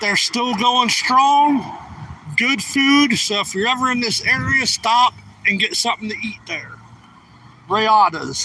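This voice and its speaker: A man speaks in a raised, projected voice at an extremely high pitch. He goes at a very slow pace, with ordinary pitch variation. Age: 40s. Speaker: live streamer. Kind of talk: casual live-stream talk while riding. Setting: outdoors on a bike ride.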